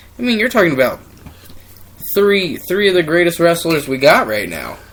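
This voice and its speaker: Loud and high-pitched, a man talks at a moderate pace. His pitch swings very widely. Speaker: wrestling podcast co-host. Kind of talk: casual chat.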